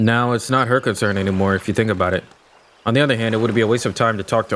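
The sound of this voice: The reading voice is unforced, with intonation that stays fairly even.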